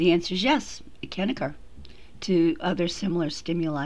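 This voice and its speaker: With audible room echo, a woman speaks at a moderate pace in a fairly low pitch with ordinary pitch variation. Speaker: psychology professor. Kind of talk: lecture. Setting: recorded lecture audio track over slides.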